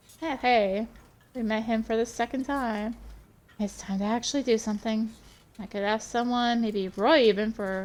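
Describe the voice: Fairly even intonation in plain reading aloud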